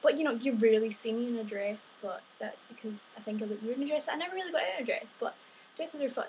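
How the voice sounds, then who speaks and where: A woman with a Scottish accent speaks at a fairly quick pace. Her pitch is high with ordinary variation, and light background noise is present. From Scotland. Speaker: vlogger. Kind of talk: casual vlog monologue. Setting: home video recording. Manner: animated. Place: home room. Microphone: webcam.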